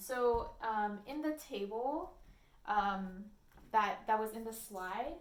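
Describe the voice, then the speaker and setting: A woman speaks with a fairly high pitch. The room echo is audible. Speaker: statistics instructor. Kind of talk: lecture. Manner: hesitant, many fillers.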